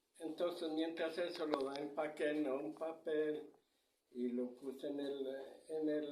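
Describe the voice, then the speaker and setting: There is audible room echo as a man speaks at a very slow pace with fairly even intonation. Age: 70s. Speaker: grandfather interviewed about local traditions. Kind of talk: oral storytelling. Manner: halting.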